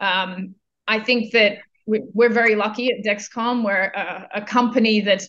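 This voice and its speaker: A woman speaks with an Australian accent at a fairly high pitch. Her intonation is monotone and flat. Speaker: global business services executive. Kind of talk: interview.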